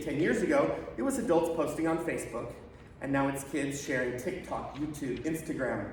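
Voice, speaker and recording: The speech moves at a fairly quick pace with ordinary pitch variation, heard through audible room echo and noticeable background noise. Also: man. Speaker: internet safety consultant. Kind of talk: presentation to parents. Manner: fast.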